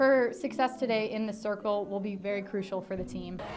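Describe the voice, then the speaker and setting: Over noticeable background noise, a woman with a fairly high voice speaks at a fairly quick pace with ordinary pitch variation. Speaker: sports reporter. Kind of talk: color commentary.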